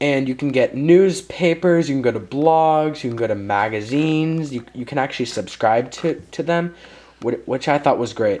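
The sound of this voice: At a moderate pace, a man speaks at medium pitch with a slightly mellow tone and ordinary pitch variation.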